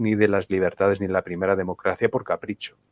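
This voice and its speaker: Against a quiet background, a man with a Spanish accent talks at a fairly quick pace, the sound dry and close with no echo. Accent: Spanish accent liked by viewers. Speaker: political commentator. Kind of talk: live-streamed political talk show.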